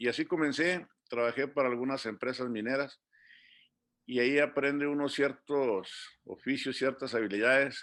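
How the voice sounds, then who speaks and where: A man speaks at a medium pitch and a fairly slow pace. The background is quiet. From Mexico, Durango. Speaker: migrant community leader. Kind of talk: interview. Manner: hesitant, many fillers.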